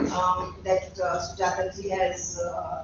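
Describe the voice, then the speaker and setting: A woman talks at a very slow pace, her voice carrying audible room echo amid noticeable background noise. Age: 60s. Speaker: professor. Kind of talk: lecture. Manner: halting.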